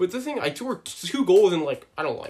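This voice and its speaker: A man with a Canadian accent at a very fast pace, lively in intonation, over noticeable background noise. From Ontario, Canada. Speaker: hockey podcast host. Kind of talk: casual chat.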